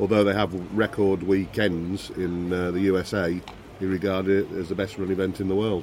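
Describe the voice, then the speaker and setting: The delivery moves at a fairly quick pace. Noticeable background noise sits behind it. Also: man. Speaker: powerboat competitor and event insider. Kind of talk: casual interview.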